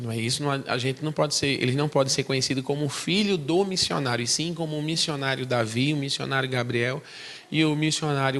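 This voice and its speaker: A man speaks at medium pitch with a strong northeastern Brazilian accent. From Brazil, Recife (Pernambuco). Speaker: missionary. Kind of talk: testimony.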